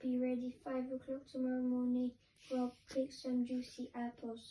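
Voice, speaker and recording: Using a squeaky, put-on character voice, a woman talks at a high pitch and moderate pace with monotone, flat intonation. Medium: read story.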